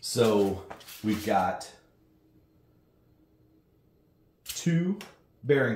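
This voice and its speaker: A man's voice comes through somewhat breathy, with audible room echo. Light background noise can be heard. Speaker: home gym reviewer. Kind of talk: tutorial.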